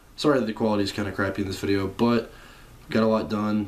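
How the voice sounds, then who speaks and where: Quietly, a man speaks with fairly even intonation. His pitch sits fairly low. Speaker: car enthusiast vlogger. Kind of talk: casual vlog talk. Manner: monotone and quiet; hesitant, many fillers.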